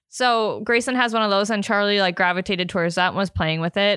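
A woman speaks at a fairly quick pace with medium pitch and a bright, sharp tone. The background is quiet. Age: 20s. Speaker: podcast host. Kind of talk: casual chat.

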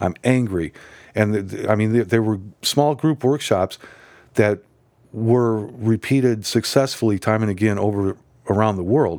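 With an American accent, a man speaks at a fairly slow pace with long, frequent pauses, his fairly low pitch showing ordinary variation, in a very clean recording with a silent background. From US Midwest (Nebraska). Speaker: psychotherapist. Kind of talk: interview.

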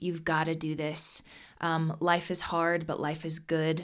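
A woman with an American accent talks at a moderate pace in a fairly low pitch, an ordinary speaking voice on a very clean recording with a silent background. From Nebraska, US Midwest. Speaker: singer-songwriter. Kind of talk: interview.

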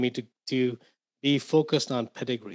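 Against a quiet background, a man with an Indian accent talks at a medium pitch with ordinary pitch variation. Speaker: investor and author. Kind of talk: casual interview.

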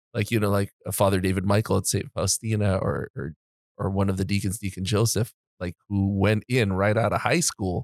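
A man with an ordinary speaking voice, fairly low in pitch and fairly even in intonation, on a dry, close recording with no echo that is very clean with a silent background. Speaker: podcast host. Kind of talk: casual interview.

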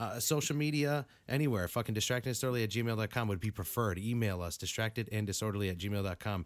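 In a very clean recording with a silent background, a man with a New England accent talks at a very fast pace with ordinary pitch variation. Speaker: podcast host. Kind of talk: casual banter, profane. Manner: rambling, joking, profane.

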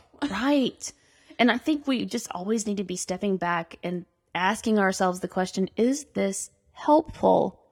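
In a dry, close recording with no echo, a woman with a normal speaking voice and an American accent talks at a fairly slow pace with lively intonation. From Arkansas, US South. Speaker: political candidate. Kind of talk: casual interview.

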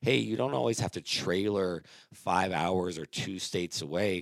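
This man has a very deep, low pitch and vocal fry, talking at a moderate pace with ordinary pitch variation. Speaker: podcast host. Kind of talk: casual podcast chat.

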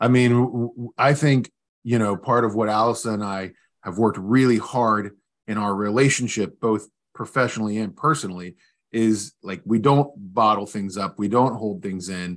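Fairly low in pitch, a man with an unremarkable speaking voice talks at a moderate pace. His pitch varies in an ordinary way, against a quiet background. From West Virginia. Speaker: business owner. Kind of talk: interview.

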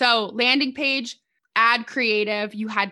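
Over a quiet background, a woman with a bright, sharp tone and fairly high pitch speaks at a fairly slow pace with fairly even intonation. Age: 20s. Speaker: social media ads expert, agency owner. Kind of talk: podcast interview.

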